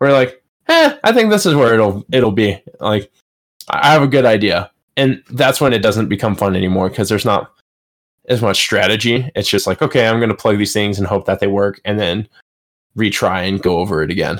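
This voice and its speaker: Using an ordinary speaking voice, a man with an American accent talks at a fairly quick pace, fairly low in pitch with ordinary pitch variation. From Colorado. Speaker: gaming podcast co-host. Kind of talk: casual chat.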